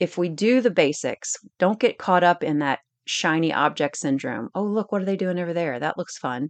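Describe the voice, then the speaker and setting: A woman with a normal speaking voice, fairly low pitch and lively intonation, at a moderate pace, against a quiet background in a dry, close sound with no echo. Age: 40s. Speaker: fitness coach podcast host. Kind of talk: casual instructional monologue. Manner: conversational, frequent self-corrections and repetitions.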